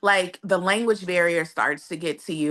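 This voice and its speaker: A woman with an American accent. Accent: slight country dialect. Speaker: expat interviewee. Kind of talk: interview.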